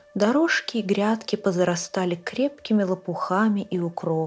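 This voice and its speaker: A woman speaks in a calm tone at medium pitch with ordinary pitch variation. Music plays in the background. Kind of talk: audiobook reading of a short story.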